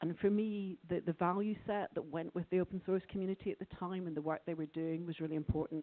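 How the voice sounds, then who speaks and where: A woman talks at a fairly quick pace in a Scottish accent. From Scotland. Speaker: conference speaker, open source lawyer. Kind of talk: conference talk. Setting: conference room with audience. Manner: quiet.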